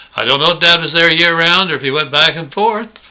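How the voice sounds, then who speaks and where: A man with a high voice speaks with ordinary pitch variation over noticeable background noise. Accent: American. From Oklahoma, US. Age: 70s. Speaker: video blogger. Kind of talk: personal reminiscence monologue. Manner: casual, folksy.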